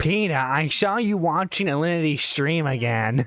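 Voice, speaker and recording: A man's put-on character voice at a fairly high pitch. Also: moderate pace. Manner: nagging, scolding.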